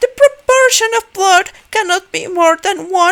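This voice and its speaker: A woman's put-on character voice at an extremely high pitch, fairly slow, with a dry, close sound and no echo. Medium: read story. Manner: eager, enthusiastic, lecturing.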